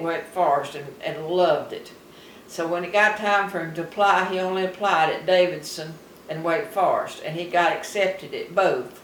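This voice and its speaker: With a Southern US accent, the speaker keeps a moderate pace and fairly even intonation over noticeable background noise. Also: woman. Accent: Southern American. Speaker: retired farmer. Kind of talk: interview answer.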